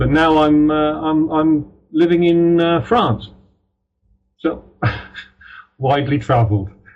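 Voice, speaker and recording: A man with a British accent speaks very slowly at a fairly high pitch, pausing long and often. His loudness stays very even, and his pitch varies in an ordinary way. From Ireland, then mostly Britain. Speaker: crime novelist. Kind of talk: interview. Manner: halting, many fillers.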